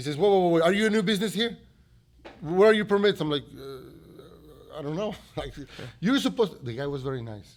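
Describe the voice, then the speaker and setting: A man with a Mexican accent, at a fairly quick pace and high pitch, with very wide pitch swings and big swings in loudness. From Mexico. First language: Spanish. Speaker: restaurant owner. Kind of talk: interview answer.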